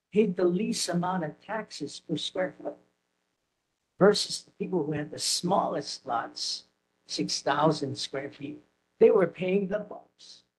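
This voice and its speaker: The loudness swings widely throughout. Pitch variation is ordinary. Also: man, high pitch for a man, fairly slow pace. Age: 70s. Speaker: resident giving public testimony. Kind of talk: public comment at community meeting.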